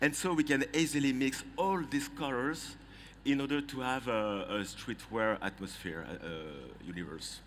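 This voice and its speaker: The speaker has a French accent and lively intonation. The pace is moderate. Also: man, fairly high pitch for a man. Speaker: trend forecaster. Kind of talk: presentation. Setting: conference stage with audience. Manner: halting.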